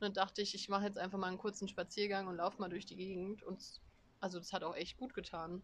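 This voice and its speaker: Her pitch is medium and her intonation monotone and flat. This woman talks at a very fast pace. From Germany. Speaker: podcast co-host, student. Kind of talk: casual chat. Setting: outdoors on a terrace.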